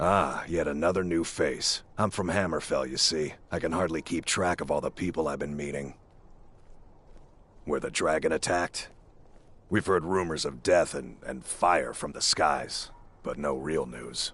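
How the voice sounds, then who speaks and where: Doing a put-on character voice, a man sounds raspy and very deep, speaking at a moderate pace. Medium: video game. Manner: chatty, warm.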